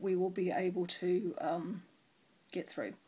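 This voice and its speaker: The woman's voice is medium in pitch and somewhat breathy. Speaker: cross stitch video blogger. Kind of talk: casual chat.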